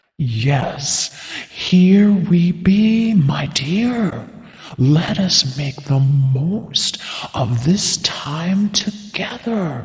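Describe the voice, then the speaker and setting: A man in a put-on character voice speaks very slowly at a high pitch, with clear echo around him. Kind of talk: gothic ghost story. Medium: audio drama. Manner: measured, old-fashioned phrasing.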